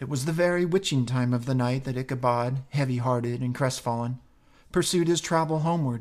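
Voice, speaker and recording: A medium-pitched man in a theatrical, dramatic tone, fairly quick, with ordinary pitch variation, in a very clean recording with a silent background. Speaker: podcast host reading a classic story. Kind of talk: literary audiobook reading of a 19th-century story, expressive narration. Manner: measured, theatrical storyteller pacing with dramatic flair.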